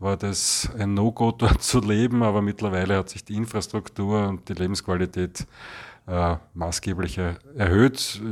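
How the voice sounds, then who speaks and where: A man talks at a fairly slow pace in a fairly low pitch, with fairly even intonation and an ordinary speaking voice. The recording is very clean, with a silent background. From Vienna, Austria. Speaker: resident. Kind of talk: interview.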